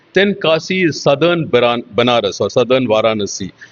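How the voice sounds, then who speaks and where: A man with a Tamil accent. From Tamil Nadu, India, raised in Kolkata. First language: Tamil (speaking Hindi). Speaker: computer scientist. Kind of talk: interview. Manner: halting, with fillers.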